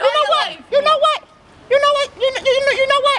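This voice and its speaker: An extremely high-pitched, cartoonish character voice. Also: fairly quick pace. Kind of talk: comedy sketch dialogue. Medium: puppet. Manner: brash, profane, rapid.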